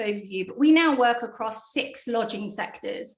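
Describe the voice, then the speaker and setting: Speaking with a British accent, a woman has a high pitch, ordinary pitch variation and a moderate pace. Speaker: PR agency executive. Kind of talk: interview.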